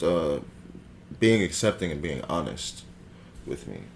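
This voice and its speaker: A man's very deep, low voice with vocal fry, lively intonation and a fairly slow pace. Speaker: podcast co-host. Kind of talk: casual chat. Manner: halting, many fillers.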